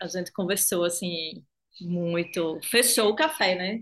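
At a very slow pace, a woman speaks with medium pitch and ordinary pitch variation. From Recife, Brazilian Northeast. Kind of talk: casual chat.

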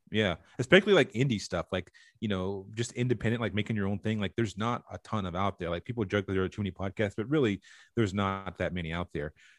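Very fast and with ordinary pitch variation, a man with an American accent speaks in a very clean recording with a silent background and a dry, close sound with no echo. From US South, rural North Carolina. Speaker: TV and comic book writer. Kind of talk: casual interview chat.

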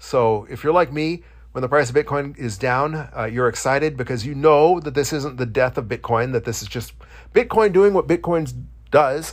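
In a very clean recording with a silent background, a man with a fairly high voice and ordinary pitch variation speaks with big swings in loudness. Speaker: podcast host. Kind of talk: solo podcast monologue. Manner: fast talker.

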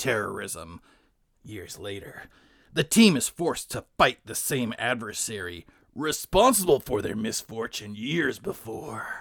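Using a put-on character voice, a man delivers lines in a dramatic, serious tone at medium pitch on a very clean recording with a silent background.

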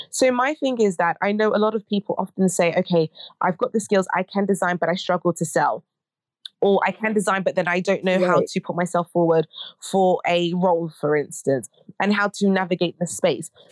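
A woman speaks at a fairly quick pace with a British accent. The sound is dry and close with no echo, and the loudness stays very even. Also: medium pitch for a woman, ordinary pitch variation. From Britain, Ghanaian heritage. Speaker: academic and fashion education nonprofit director. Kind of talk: interview.

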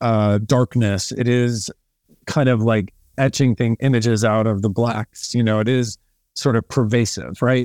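A man's normal speaking voice at a fairly slow pace, on a very clean recording with a silent background. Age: 30s. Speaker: cinematographer. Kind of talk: casual interview.

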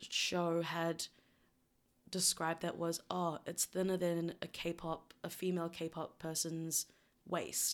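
Very slow delivery with very even loudness, in a New Zealand accent. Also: woman. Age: 20s. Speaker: university residential advisor. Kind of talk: casual chat. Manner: laughs often.

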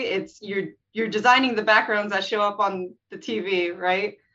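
A woman with an American accent has an unremarkable speaking voice. She keeps a moderate pace and ordinary pitch variation. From US West Coast. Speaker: animation artist. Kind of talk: casual interview.

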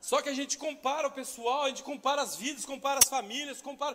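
Very fast male speech with noticeable background noise behind it. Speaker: pastor. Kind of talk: sermon.

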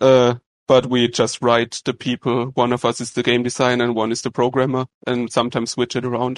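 With a German accent, a man speaks at medium pitch in a monotone, flat intonation, the sound dry and close with no echo. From Germany. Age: 20s. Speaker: game developer. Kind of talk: interview.

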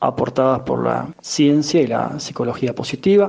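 A normal speaking voice from a man, fairly high in pitch, at a moderate pace. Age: 40s. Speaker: emotional intelligence coach and teacher. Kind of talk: interview.

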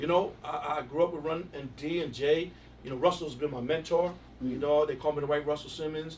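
Speaking with an American accent at a fairly quick pace, this voice keeps a fairly even intonation over noticeable background noise. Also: man, fairly high pitch for a man. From New York, Queens. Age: 50s. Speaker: music industry executive. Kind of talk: casual interview.

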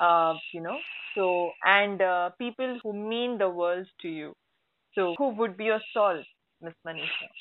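With an Indian accent, a woman speaks at a medium pitch with ordinary pitch variation and big swings in loudness. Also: fairly slow pace. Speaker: podcast host. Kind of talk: interview.

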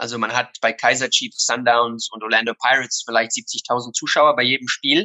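A man's medium-pitched, monotone delivery, flat in intonation, at a moderate pace with hardly any pauses. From South Africa, Somerset West (German-speaking family). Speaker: youth football academy founder. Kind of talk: interview.

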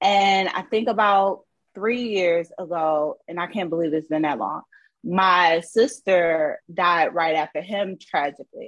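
A woman speaks at a fairly slow pace in a normal speaking voice, her pitch fairly low with ordinary variation, against a quiet background. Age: 30s. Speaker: entrepreneur. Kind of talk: casual interview.

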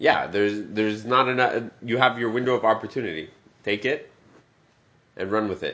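The delivery is animated, moving at a moderate pace broken up by long, frequent pauses. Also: man, medium pitch for a man. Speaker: podcast co-host. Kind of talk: casual chat. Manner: joking, animated.

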